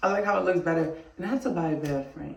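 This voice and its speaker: A woman's very fast speech with audible room echo. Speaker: vlogger. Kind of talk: casual vlog chat. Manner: rambling, talkative.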